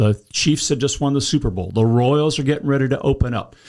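A man talks at a fairly quick pace in a plain, everyday voice with ordinary pitch variation. The recording is very clean, the background silent. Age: 60s. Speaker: congressional candidate, retired civil engineer. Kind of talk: interview.

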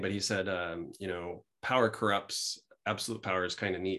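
The background stays quiet. At a moderate pace and with fairly even intonation comes a plain, everyday voice. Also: man. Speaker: business school professor. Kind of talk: interview.

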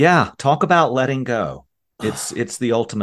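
Someone reads aloud in a natural voice. Behind the voice, things are quiet.

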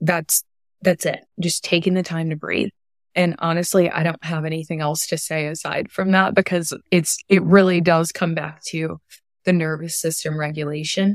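A woman speaks at a moderate pace and fairly low pitch in a monotone, flat intonation, the sound dry and close with no echo. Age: 20s. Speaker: women's health coach. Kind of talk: interview.

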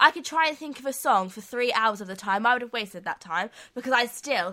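A woman speaks with a British accent. Her tone is bright and sharp, with ordinary pitch variation. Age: 20s. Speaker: podcast co-host. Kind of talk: casual chat. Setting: studio.

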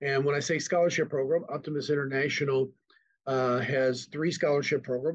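A man speaks in an ordinary speaking voice with an American accent. His pace is moderate and his intonation fairly even. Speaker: nonprofit executive director. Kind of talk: casual interview.

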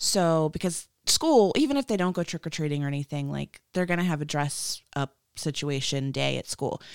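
The sound is dry and close with no echo, and the pitch variation is ordinary. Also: woman, very deep, low pitch for a woman, moderate pace. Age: 30s. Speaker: podcast host. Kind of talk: casual chat. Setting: home recording upstairs. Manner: chatty, animated.

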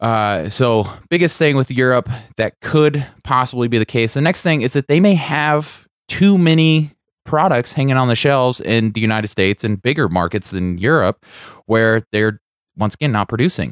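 With an American accent and a normal speaking voice, a man talks at a moderate pace in a medium pitch with lively intonation, the sound dry and close with no echo on a very clean recording with a silent background. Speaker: podcast host. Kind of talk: casual chat.

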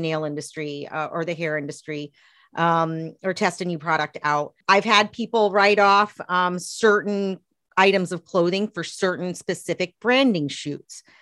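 This woman has a plain, everyday voice at medium pitch with ordinary pitch variation, recorded very cleanly against a silent background with a dry, close sound and no echo. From US South, East Tennessee. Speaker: accountant and author. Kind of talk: interview.

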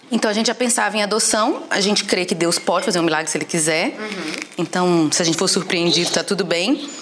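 A woman talks at a very fast pace with lively intonation and a medium pitch. Noticeable background noise runs beneath her. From Recife, Brazil. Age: 30s. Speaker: church history teacher. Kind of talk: casual chat. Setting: at her home.

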